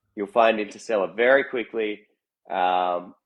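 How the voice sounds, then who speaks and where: Speaking at a fairly slow pace, a man talks with an Australian accent. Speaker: musician. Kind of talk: casual chat.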